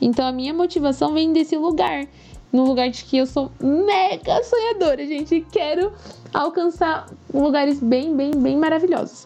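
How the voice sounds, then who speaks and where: At a moderate pace, a woman speaks in a high pitch with ordinary pitch variation amid noticeable background noise. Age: 20s. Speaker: climate activist. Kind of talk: interview. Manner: animated.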